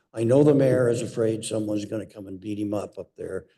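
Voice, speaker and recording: A man speaks at a moderate pace with a fairly low pitch and a dark, mellow tone. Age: 70s. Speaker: public commenter. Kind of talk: public comment speech. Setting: city planning commission meeting.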